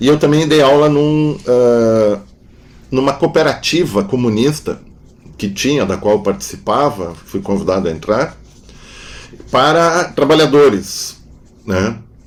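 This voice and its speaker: With very wide pitch swings at medium pitch, a man talks at a fairly slow pace, leaving long, frequent pauses. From southern Brazil, Rio Grande do Sul (Novo Hamburgo). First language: German (speaking Portuguese). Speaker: philosopher and psychoanalyst. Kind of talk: interview conversation. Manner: halting, with frequent fillers.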